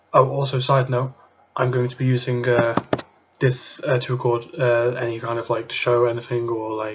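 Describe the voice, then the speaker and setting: A man speaks in a monotone, flat delivery. Noticeable background noise runs underneath. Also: medium pitch for a man, moderate pace. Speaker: YouTuber, card game deck reviewer. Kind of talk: casual tutorial-style deck profile. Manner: quiet, trying not to be loud; halting, many fillers and repetitions.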